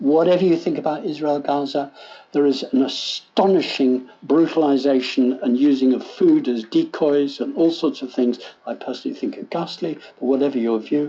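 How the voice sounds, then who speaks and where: Noticeable background noise sits behind a man with an English accent. His pitch is fairly high and his pace moderate. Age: 70s. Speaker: food policy professor. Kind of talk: lecture. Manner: conversational.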